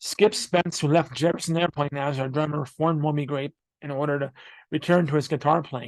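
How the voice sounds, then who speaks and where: A man talks with fairly even intonation. It is an ordinary speaking voice. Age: college student. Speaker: music history podcaster. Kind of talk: reading aloud with casual asides.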